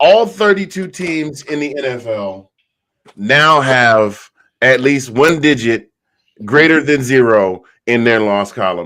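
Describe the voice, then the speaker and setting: A man's bright, sharp voice at a very slow pace with very wide pitch swings. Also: medium pitch for a man. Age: 50s. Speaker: sports show host. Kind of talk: casual panel discussion.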